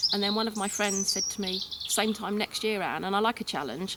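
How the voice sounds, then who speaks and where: Over noticeable background noise, a woman in an English accent talks at a fairly quick pace and medium pitch with fairly even intonation. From England. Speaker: hillwalker. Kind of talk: interview. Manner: casual.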